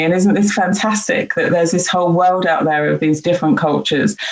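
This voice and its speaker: A woman's medium-pitched voice with a British accent and ordinary pitch variation. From UK. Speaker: diversity and inclusion leader. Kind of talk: panel discussion. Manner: hesitant, many fillers.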